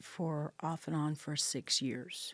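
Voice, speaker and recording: In an American accent, a woman speaks at a very slow pace with a dark, mellow tone on a very clean recording with a silent background. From Central Texas (Bastrop). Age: 60s. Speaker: homelessness advocate, peer support specialist. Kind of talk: interview, personal testimony. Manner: hesitant, many fillers.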